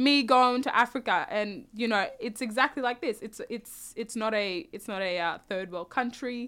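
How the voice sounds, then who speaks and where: In an Australian accent, a woman speaks at a moderate pace and high pitch with a bright, sharp tone, ordinary pitch variation and hardly any pauses, on a very clean recording with a silent background. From Australia, South Sudanese family. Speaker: podcast guest. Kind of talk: casual interview.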